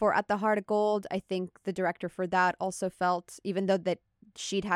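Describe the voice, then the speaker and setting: The recording is very clean, with a silent background. A woman at medium pitch talks at a fairly quick pace in a monotone, flat intonation. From Italy. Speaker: film and TV composer. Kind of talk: interview.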